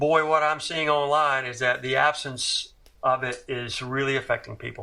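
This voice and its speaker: A man's bright, sharp, fairly high voice in a Southern accent, monotone and flat in intonation, at a moderate pace. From US South, Tuscaloosa, Alabama. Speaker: career drummer. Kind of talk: interview. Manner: halting, many repetitions and fillers.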